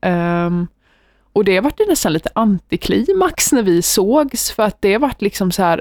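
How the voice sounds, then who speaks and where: Speaking fairly slowly in a plain, everyday voice at medium pitch, a woman uses lively intonation on a very clean recording with a silent background and a dry, close sound with no echo. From Sweden, Västervik. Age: 20s. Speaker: university student. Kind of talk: casual interview.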